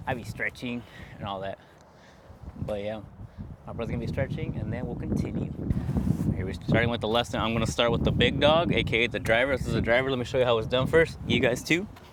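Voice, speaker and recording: Amid noticeable background noise, a man talks at a very fast pace broken by long, frequent pauses. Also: medium pitch for a man, ordinary pitch variation. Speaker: vlogger and golf coach. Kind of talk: tutorial. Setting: outdoors at golf driving range. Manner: casual, addresses viewers as chat.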